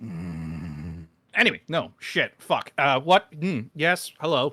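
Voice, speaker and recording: A man's bright, sharp voice with vocal fry, very wide pitch swings, and a very slow pace. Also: medium pitch for a man. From Britain. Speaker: YouTuber guest on a livestream. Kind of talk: casual chat. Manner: animated.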